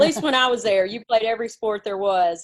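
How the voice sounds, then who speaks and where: In a Mississippi accent, a woman talks at a very fast pace. Her pitch sits at a medium level, with ordinary variation. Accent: Mississippi accent with country twang. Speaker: women's basketball coach. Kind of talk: interview.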